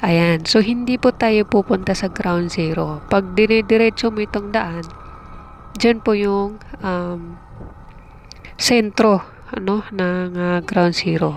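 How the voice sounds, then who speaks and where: This woman talks at a very slow pace, her medium pitch following a fairly even intonation. Noticeable background noise runs beneath her voice. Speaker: travel vlogger. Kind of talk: vlog narration while riding. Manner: hesitant, many fillers.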